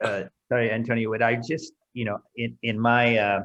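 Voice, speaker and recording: With an American accent and an ordinary speaking voice, a man talks at a fairly slow pace and medium pitch. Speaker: interview host, open water swimming. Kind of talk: casual interview. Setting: video call.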